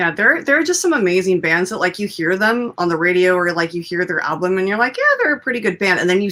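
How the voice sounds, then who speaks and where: Noticeable background noise runs through this clip. The woman's voice sits at a medium pitch. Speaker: talk show host. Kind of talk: casual live-stream interview talk.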